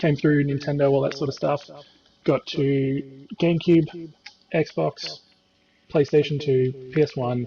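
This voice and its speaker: Soft-spoken and at a fairly slow pace, this voice has an Australian accent and ordinary pitch variation. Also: man. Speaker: gaming guest. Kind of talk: casual chat.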